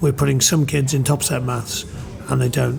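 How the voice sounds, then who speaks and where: A man talks at a fairly quick pace while noticeable background noise runs behind him. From northern England, Middlesbrough. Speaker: rugby coach. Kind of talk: podcast interview.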